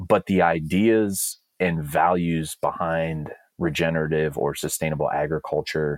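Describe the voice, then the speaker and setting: This man has a very deep, low pitch and speaks with a Californian accent. The sound is dry and close, with no echo. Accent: Californian American. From California, East Bay (Alameda). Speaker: rancher and land manager. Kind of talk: interview. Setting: office.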